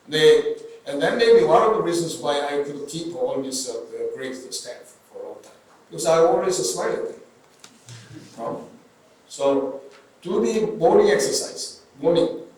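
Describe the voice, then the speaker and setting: A man talks at a moderate pace with long, frequent pauses and big swings in loudness. Noticeable background noise and audible room echo fill the recording. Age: 70s. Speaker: neurosurgeon. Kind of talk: interview. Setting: stage with audience. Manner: halting, many fillers.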